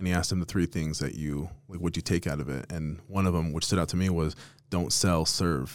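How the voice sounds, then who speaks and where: With an American accent, a man talks very fast in a very deep, low voice with fairly even intonation. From Las Vegas, Nevada. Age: 30s. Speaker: podcast host, real estate team leader. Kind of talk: casual interview. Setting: office studio.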